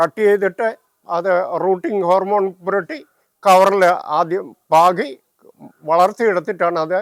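High-pitched man with ordinary pitch variation, dry, close sound, no echo. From Kerala, Pathanamthitta. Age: 80s+. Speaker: retired railway employee and home gardener. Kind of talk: garden tour explanation. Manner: halting.

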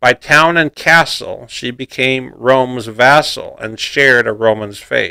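Speaking fairly slowly, a man has a medium pitch and a bright, sharp tone. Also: quiet background. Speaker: poetry narrator. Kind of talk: poetry reading. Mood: measured, steady recitation.

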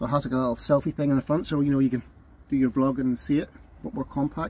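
The pace is fairly quick. This man's voice has a dark, mellow tone. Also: dry sound with no echo. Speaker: van camping vlogger. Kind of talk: casual vlog chat. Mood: relaxed, chatty.

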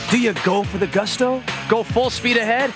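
Over clear music in the background, a man projects a raised voice at an extremely high pitch. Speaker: voice actor. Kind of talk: TV commercial read. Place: studio.

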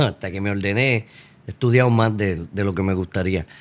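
A man is speaking here. His pace is moderate. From Puerto Rico. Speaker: priest guest. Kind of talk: casual interview. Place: studio. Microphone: studio mic.

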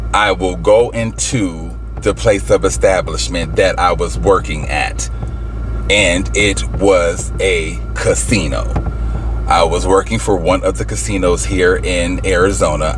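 A man at a fairly slow pace, dry with no echo, over clear music in the background. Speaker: vlogger. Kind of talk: casual vlog chat. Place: car. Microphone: phone near.

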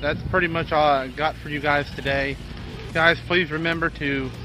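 A man speaks with music in the background. The sound is dry, with no echo. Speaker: car parts vlogger. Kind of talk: casual vlog outro. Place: street. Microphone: phone near.

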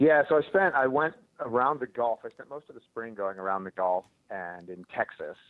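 The voice moves at a moderate pace, with very wide pitch swings and big swings in loudness. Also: man, medium pitch for a man. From US Northeast, Philadelphia. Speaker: birder and bird photographer, former scientist. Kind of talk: casual interview chat.

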